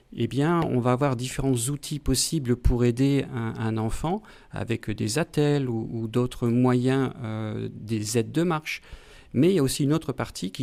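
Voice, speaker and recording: Speaking very slowly, a man with a dark, mellow tone and medium pitch uses ordinary pitch variation in a very clean recording with a silent background. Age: 60s. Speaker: pediatrician and physiology professor. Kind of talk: interview. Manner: halting, many hesitations.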